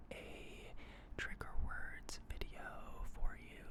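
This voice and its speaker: The speech is whispered. Background noise is noticeable. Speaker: ASMR creator. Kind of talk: ASMR trigger words with geology explanations.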